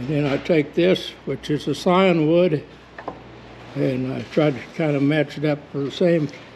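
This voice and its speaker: Over noticeable background noise, a man with a fairly high voice speaks at a very slow pace with ordinary pitch variation and long, frequent pauses. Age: 80s+. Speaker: nursery founder, horticulturist. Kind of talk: demonstration explanation. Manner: slightly halting.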